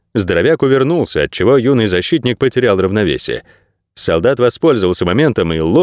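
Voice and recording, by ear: The background stays quiet while a person reads aloud in a natural voice.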